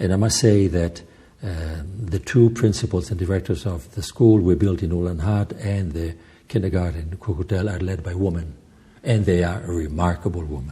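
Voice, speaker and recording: Speaking at a fairly quick pace with an Italian-Swiss accent, a man uses a very deep, low pitch and a dark, mellow, somewhat breathy tone with ordinary pitch variation. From Italian-speaking Switzerland. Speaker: journalist and film director, charity head. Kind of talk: interview. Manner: halting.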